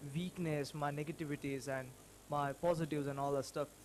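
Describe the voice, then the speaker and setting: Fairly even intonation in a non-native accent, with music in the background. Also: man. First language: not English. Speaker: small business owner. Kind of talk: personal vlog. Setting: self-recorded video. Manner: halting.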